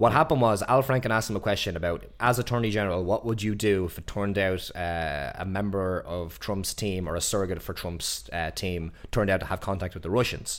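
In a very clean recording with a silent background, a man with an Irish accent talks at a fairly quick pace with hardly any pauses, using a fairly low pitch and ordinary pitch variation. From Ireland. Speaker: podcast co-host. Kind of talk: casual chat.

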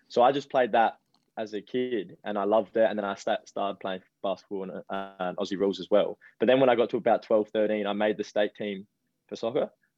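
Music plays in the background as a man speaks fairly quickly at a fairly low pitch, his intonation fairly even. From Adelaide, South Australia. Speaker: professional footballer. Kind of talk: interview.

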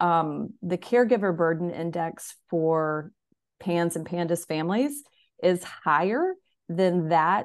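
A woman talks fairly slowly, and the background is quiet. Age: 50s. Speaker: mother and mindset coach. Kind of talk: interview conversation. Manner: hesitant, many fillers.

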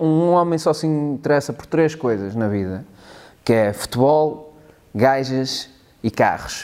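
Speaking at a fairly slow pace, a man with a European Portuguese accent uses lively intonation. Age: 30s. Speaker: multimedia worker and stand-up comedian. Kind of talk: casual interview chat.

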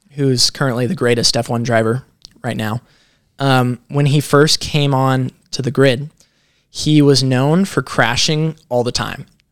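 This man has an unremarkable speaking voice at medium pitch, talking at a moderate pace with a dry, close sound and no echo. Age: 20s. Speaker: young entrepreneur. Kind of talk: podcast interview. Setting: in Las Vegas.

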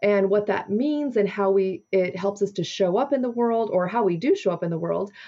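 Talking at a fairly quick pace, a woman has a plain, everyday voice at medium pitch with ordinary pitch variation. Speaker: podcast host. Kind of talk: interview.

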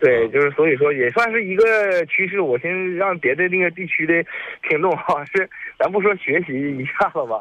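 This man's voice sits high in pitch. His intonation is lively. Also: moderate pace. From Xunke, Heilongjiang, northeast China. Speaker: radio call-in listener. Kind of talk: call-in conversation. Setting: phone call.

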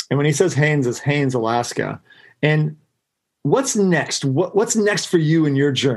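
Keeping very even loudness, a man with a plain, everyday voice speaks at a moderate pace with a fairly high pitch and lively intonation. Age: 40s. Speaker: podcast host and ski guide. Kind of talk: casual interview.

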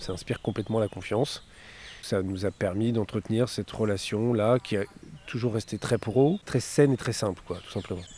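Dark and mellow in tone, a man's fairly low voice moves at a moderate pace with fairly even intonation and a dry, close sound with no echo. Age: 40s. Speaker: marketing director. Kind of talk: interview. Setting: outdoors on a park bench. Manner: hesitant, many fillers.

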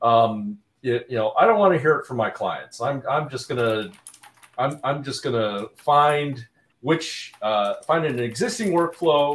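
A man with a fairly high pitch, a normal speaking voice, lively intonation, and a moderate pace. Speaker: guest, Jira admin. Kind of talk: casual live-streamed podcast chat.

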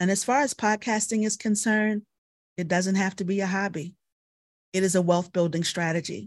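A woman with an ordinary speaking voice talks at a fairly quick pace with an American accent, keeping her intonation fairly even. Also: medium pitch for a woman. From Baltimore, US. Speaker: military veteran and journalist. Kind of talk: interview.

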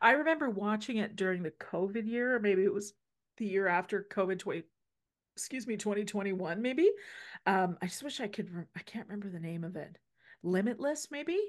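A woman with a plain, everyday voice speaks at a medium pitch and a fairly quick pace. Her intonation is lively and her loudness swings widely, over a quiet background. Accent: Canadian. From Saskatchewan, Canada. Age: 50s. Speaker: podcast host, healthcare practitioner. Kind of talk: casual chat.

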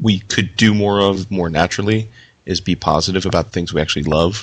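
A man speaks in a plain, everyday voice with a fairly low pitch and ordinary pitch variation. The background is quiet. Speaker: podcast host. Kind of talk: casual chat.

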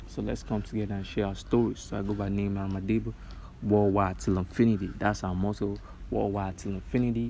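Talking at a very fast pace, a man keeps a fairly low, dark and mellow voice with fairly even intonation. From Nigeria. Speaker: podcast host. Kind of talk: solo podcast introduction monologue. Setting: quiet place away from home.

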